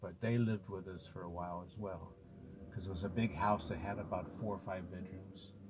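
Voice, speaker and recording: A somewhat breathy voice with an American accent and ordinary pitch variation. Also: man. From US West Coast, South Central Los Angeles. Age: 60s. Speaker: video memoirist. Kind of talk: personal reminiscence. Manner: halting, with fillers.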